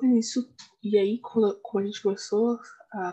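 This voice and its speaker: A woman's fairly high, somewhat breathy voice with a dark, mellow tone and fairly even intonation. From Brazil, São Paulo city East Zone. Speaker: podcast co-host. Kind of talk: casual chat.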